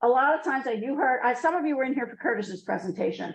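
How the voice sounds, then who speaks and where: The voice is loud and the pace very fast. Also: woman. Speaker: business executive and speaker. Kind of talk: talk to a class of high school students. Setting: classroom with live audience, no microphone.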